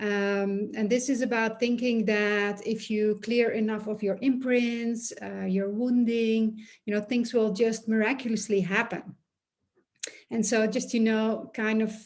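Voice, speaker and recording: The voice moves at a fairly slow pace with monotone, flat intonation. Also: woman. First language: not English. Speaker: energy healer and business coach. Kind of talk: monologue video talk. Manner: hesitant, many fillers.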